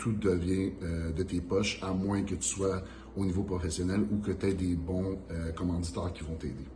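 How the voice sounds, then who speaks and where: A man with a Quebec French accent talks very fast in a very deep, low pitch, somewhat breathy, with fairly even intonation and audible room echo. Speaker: pro bodybuilder, channel host. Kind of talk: casual Q&A chat.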